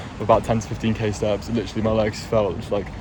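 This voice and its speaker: Very fast, medium-pitched speech from a man, over noticeable background noise. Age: 20s. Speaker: vlogger, university student. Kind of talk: casual vlog talk.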